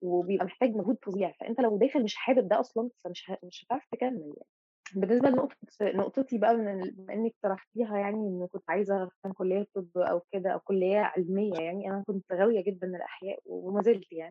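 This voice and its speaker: This woman has a plain, everyday voice at a medium pitch, with ordinary pitch variation and big swings in loudness. She talks at a fairly quick pace with hardly any pauses. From Egypt, Mansoura. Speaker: teaching assistant in fine arts. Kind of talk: casual interview chat.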